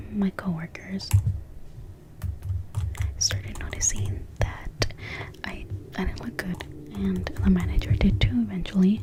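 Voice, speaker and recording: A soft-spoken woman talks at a fairly slow pace. Noticeable background noise sits behind her voice. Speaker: ASMR creator. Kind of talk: personal story time.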